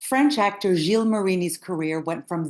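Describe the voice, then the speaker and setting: This woman has an ordinary speaking voice with lively intonation and a moderate pace. The background is quiet. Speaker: podcast host. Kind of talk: podcast intro narration.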